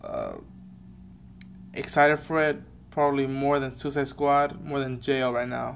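A man talks with fairly even intonation. Light background noise is present. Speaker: reaction vlogger. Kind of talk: casual vlog chat. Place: home room. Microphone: webcam.

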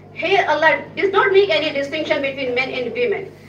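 A woman speaks with a high pitch and lively intonation. Light background noise and audible room echo are present. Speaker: religious speaker; speaker. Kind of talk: speech. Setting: stage with audience. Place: hall.

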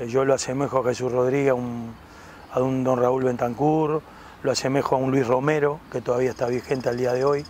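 A man talks at a fairly quick pace in a flat monotone, the sound dry with no echo and a light background noise. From Uruguay. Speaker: retired footballer turned interview host. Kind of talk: casual sports interview. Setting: outdoors in a park. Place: garden. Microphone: lapel.

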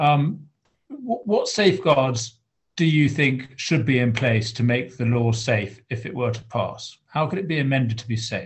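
Speaking at a fairly slow pace, a man with a British accent sounds somewhat breathy. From England. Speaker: member of parliament, meeting chair. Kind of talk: formal meeting chairing. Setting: video call. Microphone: video call.

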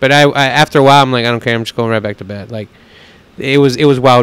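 An ordinary speaking voice from a man with an American accent, fairly high in pitch with fairly even intonation, in a dry sound with no echo. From Texas. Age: 30s. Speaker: pitmaster and restaurant owner; podcast guest. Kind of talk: casual chat; interview answer. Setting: on location at a restaurant. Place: home room. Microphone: handheld.

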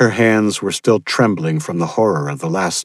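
Lively intonation runs through reading delivered without strain.

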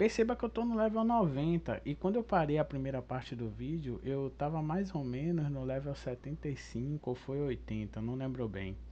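Over a quiet background, a man speaks at a fairly slow pace with a Brazilian accent. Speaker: gaming video creator. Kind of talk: casual gameplay commentary.

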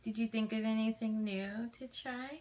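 A soft-spoken woman with a gentle tone and fairly even intonation. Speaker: ASMR creator playing a supportive friend. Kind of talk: ASMR friend roleplay comfort talk. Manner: gentle, soft-spoken, reassuring. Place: home room. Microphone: phone near.

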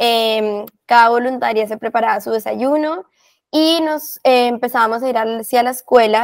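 This woman talks at a moderate pace, and the background stays quiet. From Colombia. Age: 20s. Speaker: volunteer. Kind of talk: interview. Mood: warm, reflective. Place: home room. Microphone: earbuds.

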